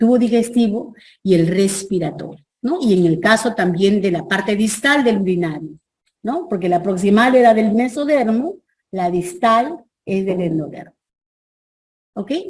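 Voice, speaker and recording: A somewhat breathy woman, fairly high in pitch, speaks at a fairly slow pace with long, frequent pauses and very wide pitch swings. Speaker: professor. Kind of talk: lecture.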